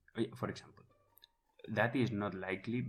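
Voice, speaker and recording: Speaking at a very fast pace, a man with a non-native accent shows vocal fry. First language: not English. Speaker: podcast co-host. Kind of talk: casual explanatory chat.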